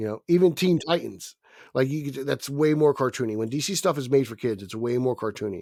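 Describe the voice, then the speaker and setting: A man talks at a fairly quick pace with a New Jersey accent and a medium pitch. His tone is dark and mellow, and his intonation is lively. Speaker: podcast co-host. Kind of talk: casual chat.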